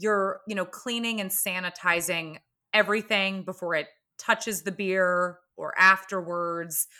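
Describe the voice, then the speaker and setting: A woman speaks at a fairly slow pace in a medium-pitched voice with a bright, sharp tone and fairly even intonation. The recording is very clean, with a silent background. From US South, Atlanta, Georgia. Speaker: podcast host and former brewery intern. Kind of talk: casual chat.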